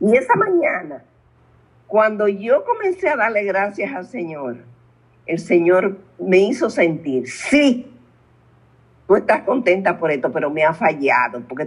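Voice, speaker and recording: At a fairly slow pace, a woman of medium pitch speaks with very wide pitch swings. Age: 80s+. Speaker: spiritual guide. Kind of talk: testimony.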